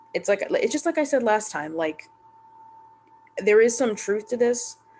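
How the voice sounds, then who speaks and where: A woman talks in a rather high register. Background noise is clearly audible. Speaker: YouTuber reacting to Reddit posts. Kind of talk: casual commentary monologue. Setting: home recording late at night. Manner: halting, stuttering.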